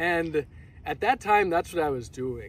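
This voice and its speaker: A man talks with lively intonation at a high pitch. The sound is dry with no echo, and there is light background noise. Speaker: vlogger. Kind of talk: casual vlog chat. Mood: cheerful, reflective. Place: open country.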